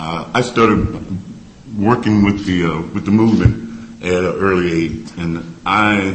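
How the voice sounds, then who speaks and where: A man in a Mississippi accent, very deep and low in pitch, with ordinary pitch variation at a moderate pace, plus audible room echo and noticeable background noise. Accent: Southern US (Mississippi). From Mississippi, US South. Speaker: civil rights activist. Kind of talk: personal testimony.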